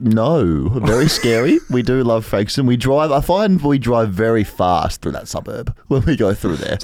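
In an Australian accent, a man at a medium pitch talks at a fairly slow pace with lively intonation. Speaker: podcast co-host.

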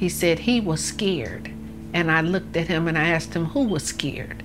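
Amid audible room echo and noticeable background noise, a woman with a Detroit accent talks at a moderate pace. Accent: Detroit American. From US Midwest, Detroit. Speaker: victim's mother. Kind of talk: interview testimony.

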